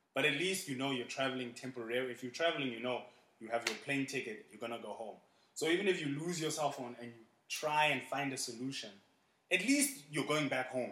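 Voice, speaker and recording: At a very fast pace, a man speaks in a bright, sharp tone at medium pitch with ordinary pitch variation. His loudness swings a lot, and audible room echo surrounds him. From South Africa, Port Elizabeth. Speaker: teacher and school administrator. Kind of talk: casual interview.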